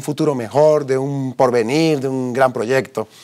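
Against a quiet background, a man with a fairly high pitch talks at a fairly slow pace. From Colombia, Bogotá. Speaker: businessman giving faith testimony; interview guest. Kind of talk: testimony interview. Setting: TV studio. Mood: earnest, reflective. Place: studio. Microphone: lapel.

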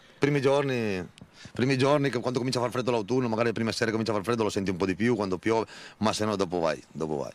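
At a very fast pace, a man speaks at a medium pitch with ordinary pitch variation, the sound dry with no echo. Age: 30s. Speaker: shepherd. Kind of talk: interview. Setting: outdoors. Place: open country. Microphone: handheld.

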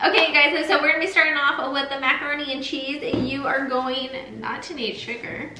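Noticeable background noise surrounds a raised, projected voice. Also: woman. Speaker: lifestyle vlogger. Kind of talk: casual vlog chat. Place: kitchen. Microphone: camera far.

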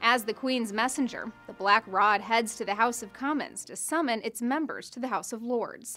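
Big swings in loudness, hardly any pauses and a moderate pace, with music in the background. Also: woman, fairly high pitch for a woman, ordinary pitch variation. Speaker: news reporter. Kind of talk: news package narration. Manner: wry, lightly humorous.

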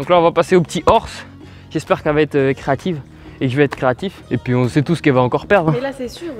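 The speech goes at a very fast pace. Faint music plays in the background. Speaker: video host. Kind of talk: casual vlog chat. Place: street.

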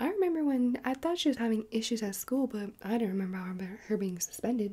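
A soft-spoken woman with lively intonation and a very fast pace. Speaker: roleplay host. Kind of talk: casual roleplay chat to viewer. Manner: soft ASMR voice, puzzled. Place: home room. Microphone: phone near.

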